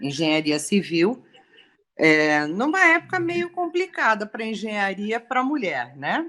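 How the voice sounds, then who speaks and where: A woman with a bright, sharp tone speaks at a fairly high pitch and a very slow pace. Her pitch swings very widely. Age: 60s. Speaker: civil engineer. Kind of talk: testimony.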